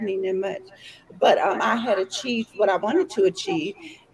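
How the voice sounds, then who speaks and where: In an East Texas accent, a woman talks at a moderate pace and medium pitch with ordinary pitch variation. Noticeable background noise is present. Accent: East Texas Southern US. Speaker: entrepreneur guest. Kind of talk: casual chat. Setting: video call.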